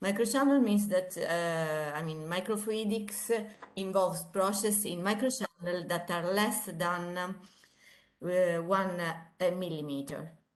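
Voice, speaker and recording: Amid audible room echo, a woman speaks at a fairly slow pace with medium pitch and ordinary pitch variation. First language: Italian. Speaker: engineering professor. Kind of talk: lecture. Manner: halting.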